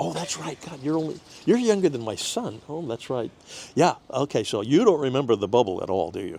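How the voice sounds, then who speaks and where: A man with an American accent, medium in pitch, dark and mellow in tone, at a fairly quick pace with very wide pitch swings and big swings in loudness. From Southern California. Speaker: TV personality. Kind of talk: interview. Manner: hesitant, many fillers.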